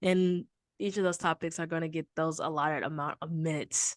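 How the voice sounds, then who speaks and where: Against a quiet background, a woman with a Southern accent speaks in a dry, close sound with no echo. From Texas, Houston. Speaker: podcast host. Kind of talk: casual chat.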